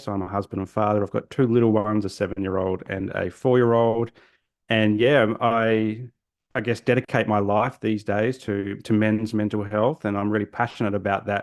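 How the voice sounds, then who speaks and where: A man with an Australian accent speaks at a fairly quick pace, his fairly low pitch held in fairly even intonation. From South Australia, Adelaide. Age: 40s. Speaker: social worker. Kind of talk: podcast interview. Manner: halting, many repetitions and fillers.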